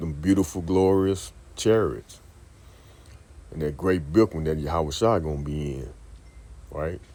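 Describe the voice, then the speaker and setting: With a very deep, low pitch and a dark, mellow tone, a man speaks at a fairly slow pace, his loudness swinging widely, his pitch varying in an ordinary way, and long pauses coming often. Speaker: religious teacher. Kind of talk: scripture teaching. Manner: casual.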